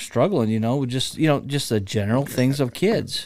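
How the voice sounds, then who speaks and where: A man with an American accent talks at a fairly quick pace in a plain, everyday voice of medium pitch with ordinary pitch variation, on a very clean recording with a silent background. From Cedar Rapids, Iowa. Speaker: local community figure. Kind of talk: casual interview chat.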